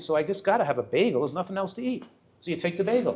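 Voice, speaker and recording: The speech runs at a very fast pace with very wide pitch swings. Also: man. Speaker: physician giving a nutrition talk. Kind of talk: lecture. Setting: restaurant event with audience.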